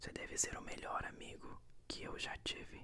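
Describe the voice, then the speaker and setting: The voice is a whisper. Noticeable noise can be heard behind it. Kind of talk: ASMR whispered book reading with commentary. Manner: whispered, soft.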